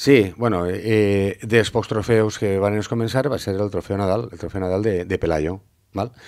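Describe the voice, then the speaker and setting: Against a quiet background, a man speaks with a fairly low pitch and fairly even intonation. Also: fairly slow pace. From Valencia city, Spain; Spain. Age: 50s. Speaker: former pilota player; interviewee. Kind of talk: interview. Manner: halting, many fillers. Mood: calm, reflective, smiling.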